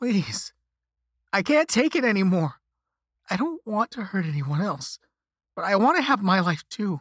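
A man uses a put-on character voice with a high pitch, big pitch swings and a slightly husky edge. He moves at a fairly slow pace with long, frequent pauses. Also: dry, close sound with no echo, very clean recording, silent background.

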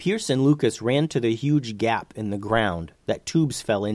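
The speaker reads in an unforced reading voice.

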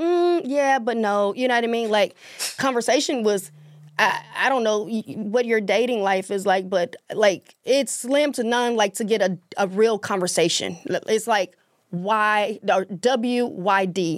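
A woman speaks in a Southern US accent at a fairly slow pace. Her pitch sits fairly high, with ordinary pitch variation. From US South, Mississippi. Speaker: author and public speaker. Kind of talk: casual chat.

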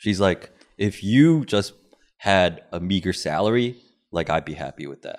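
A man with an American accent speaks at a moderate pace in a fairly low pitch, with lively intonation. His loudness swings widely, in a plain, everyday voice. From Korean American upbringing. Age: 30s. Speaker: podcaster, guest. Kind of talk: casual chat.

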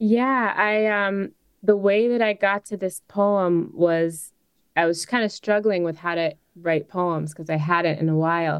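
A woman's ordinary speaking voice at a medium pitch with an American accent, ordinary pitch variation and a fairly slow pace. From Chicago, US Midwest. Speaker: singer-songwriter and poet. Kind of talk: interview.

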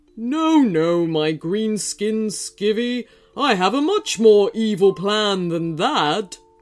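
Booming and fairly high in pitch, a put-on character voice moves at a fairly slow pace with music in the background. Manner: booming, theatrical.

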